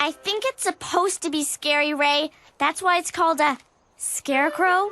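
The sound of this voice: A female-sounding voice performs a cartoonish character at an extremely high pitch. Faint music plays in the background. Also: moderate pace.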